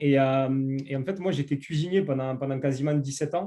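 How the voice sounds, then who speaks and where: In a southern French accent, a man speaks with a dark, mellow tone and ordinary pitch variation. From southern France. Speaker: network marketing entrepreneur. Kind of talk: interview. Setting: online call. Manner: hesitant, many fillers.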